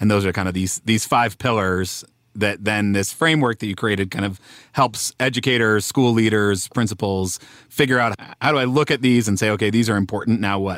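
Speaking with an American accent at a fairly quick pace, a man has a plain, everyday voice at a fairly low pitch with ordinary pitch variation. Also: very clean recording, silent background. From Denver, US. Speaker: podcast co-host. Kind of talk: casual conversational interview.

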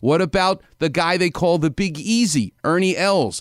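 In a New York accent, a man speaks at a fairly slow pace with lively intonation, in a very clean recording with a silent background. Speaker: orthopedic surgeon. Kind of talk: medical advice in radio interview.

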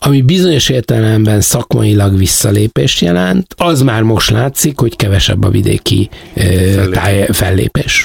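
A man speaks at a fairly slow pace and medium pitch, with very wide pitch swings. The sound is dry and close, with no echo. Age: old. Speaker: theatre producer. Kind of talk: interview. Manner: halting.

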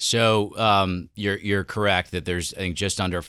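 On a very clean recording with a silent background, a man with an American accent speaks at a moderate pace in a bright, sharp tone with fairly even intonation. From New York. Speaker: asset management executive. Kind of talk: interview. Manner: halting.

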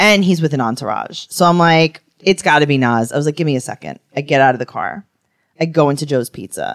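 A woman speaks at a fairly quick pace. The sound is dry and close, with no echo at all. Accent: New York. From Queens, New York. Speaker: podcast co-host and comedian. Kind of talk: casual comedic chat.

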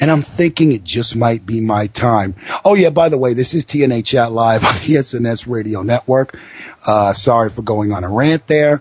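A man with an American accent at medium pitch and moderate pace, with ordinary pitch variation over noticeable background noise. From New York, the Bronx. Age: 30s. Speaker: wrestling radio host. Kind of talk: casual talk radio.

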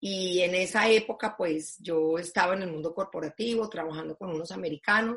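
A woman's a normal speaking voice at a fairly quick pace with ordinary pitch variation. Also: medium pitch for a woman. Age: 50s. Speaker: foundation president. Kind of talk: interview.

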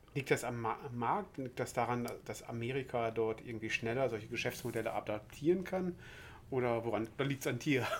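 At a moderate pace, a man talks in an unremarkable speaking voice, medium in pitch with ordinary pitch variation. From West Germany. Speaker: podcast host. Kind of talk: interview.

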